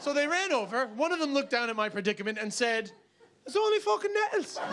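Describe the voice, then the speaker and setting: Noticeable background noise sits behind a man with an American accent. His extremely high pitch makes very wide swings at a very fast pace. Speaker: stand-up comedian. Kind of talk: stand-up comedy routine to a live audience. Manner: animated, comedic, storytelling with shouted outbursts.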